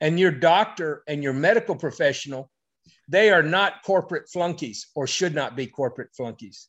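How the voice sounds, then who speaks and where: Speaking at a moderate pace, a man with an American accent uses a fairly high pitch and lively intonation. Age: 50s. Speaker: medical doctor. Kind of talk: interview. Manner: halting.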